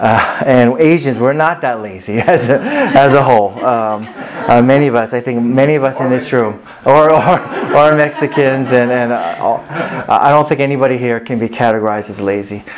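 Noticeable background noise runs throughout. The speaking keeps a moderate pace. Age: 40s. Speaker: pastor. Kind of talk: sermon.

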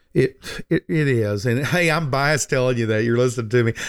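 Recorded very cleanly against a silent background, a man with a normal speaking voice talks at a fairly quick pace and medium pitch, the sound dry and close with no echo. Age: 60s. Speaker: financial advisor and radio host. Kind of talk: casual chat.

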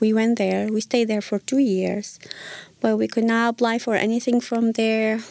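In a dark, mellow tone, a woman speaks at a fairly high pitch with monotone, flat intonation. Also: dry, close sound with no echo. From Iraq. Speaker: former refugee. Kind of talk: interview. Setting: studio. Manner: halting.

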